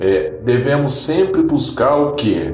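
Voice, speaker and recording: Music plays in the background as a man speaks at a very slow pace, with audible room echo. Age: 40s. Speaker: podcast host. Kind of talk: casual monologue.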